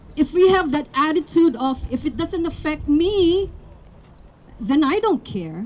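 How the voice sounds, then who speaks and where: With a Filipino accent, a woman speaks at a fairly slow pace in a high pitch, her intonation lively despite noticeable background noise. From Philippines. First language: Tagalog. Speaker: rally speaker. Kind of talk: public speech.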